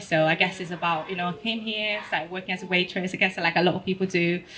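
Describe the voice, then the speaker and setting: Speaking with an Italian accent, a woman goes at a very fast pace. Her pitch is medium and her intonation fairly even. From Italy. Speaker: photographer. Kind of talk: panel discussion. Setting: stage with audience.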